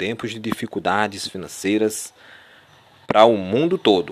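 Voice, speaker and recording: Moderately paced speech from a man, fairly low in pitch. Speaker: preacher. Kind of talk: sermon. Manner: animated; emphatic, urgent.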